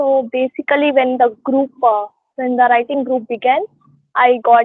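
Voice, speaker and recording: A woman speaks with a Telugu accent at a fairly slow pace. Her pitch is high. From India, Karnataka. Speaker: poet. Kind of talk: interview. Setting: online call. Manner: hesitant, many fillers.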